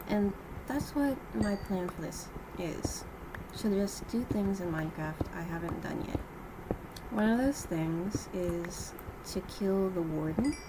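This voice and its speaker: A woman of medium pitch speaks very slowly with lively intonation and long, frequent pauses, over noticeable background noise and audible room echo. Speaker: gaming youtuber. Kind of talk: gameplay commentary. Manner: halting with pauses mid-sentence. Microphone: poor audio equipment, too quiet.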